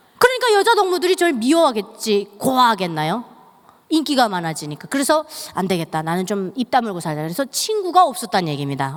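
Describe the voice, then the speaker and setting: Over noticeable background noise, a woman talks at a fairly quick pace with very wide pitch swings. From North Korea. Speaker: North Korean defector speaker. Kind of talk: testimony. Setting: church.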